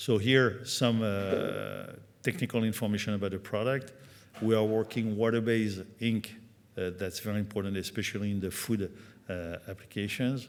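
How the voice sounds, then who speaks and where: A man with a French accent and fairly low pitch, at a moderate pace with fairly even intonation. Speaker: company executive at trade conference. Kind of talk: conference presentation. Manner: halting, many fillers.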